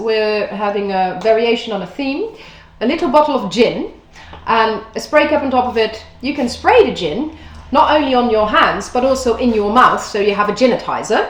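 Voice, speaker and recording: With a Dutch accent and lively intonation, a woman speaks at a high pitch and moderate pace amid audible room echo. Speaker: food and drink host. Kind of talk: presentation to camera.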